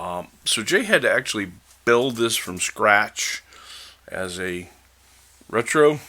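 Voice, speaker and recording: A man speaks in a relaxed tone. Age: 60s. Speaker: diecast collector and video creator. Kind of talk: casual video commentary. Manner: relaxed, with frequent fillers.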